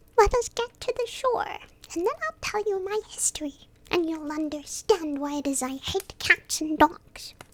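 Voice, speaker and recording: An extremely high-pitched, put-on character voice from a woman, delivered at a moderate pace. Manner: pale with passion, agitated.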